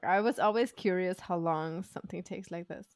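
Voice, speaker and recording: With a German accent, a woman talks at a very fast pace. The recording is very clean with a silent background, and the sound is dry and close with no echo. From Germany, Sauerland near Dortmund. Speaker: podcast host. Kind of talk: casual interview chat.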